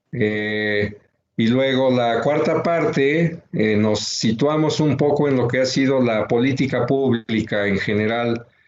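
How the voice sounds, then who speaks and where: At a very slow pace, a man talks in a medium pitch with ordinary pitch variation and very even loudness. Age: 60s. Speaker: researcher and book author. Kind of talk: book presentation talk. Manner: halting, many fillers.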